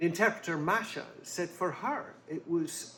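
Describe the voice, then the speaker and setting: A man's bright, sharp tone at a very slow pace. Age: 70s. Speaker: author. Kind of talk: interview answers. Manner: halting.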